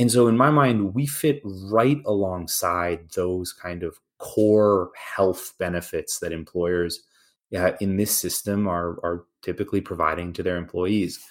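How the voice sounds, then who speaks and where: A man talks at a fairly slow pace in an unremarkable speaking voice, with fairly low pitch, ordinary pitch variation and a very clean recording on a silent background. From Canada. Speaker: healthcare company sales executive. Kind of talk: professional interview.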